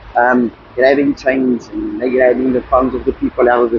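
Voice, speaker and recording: Over noticeable background noise, a man speaks at medium pitch and a moderate pace in a monotone, flat intonation. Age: 40s. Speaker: homeless man, diesel mechanic. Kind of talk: interview.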